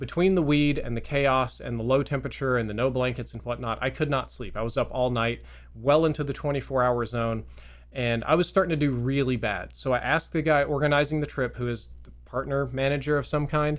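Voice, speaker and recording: The man talks at a fairly quick pace. He speaks in a Southern accent. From US South, Mississippi. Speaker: gaming youtuber. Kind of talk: storytelling monologue. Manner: casual, conversational.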